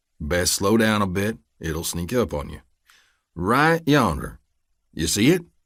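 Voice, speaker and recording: A man doing a put-on character voice with an Appalachian accent speaks at a fairly slow pace, his rumbling, fairly low pitch swinging very widely, with long, frequent pauses on a very clean recording with a silent background. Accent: Appalachian mountain dialect. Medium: read story. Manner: folksy, drawling, calmly threatening.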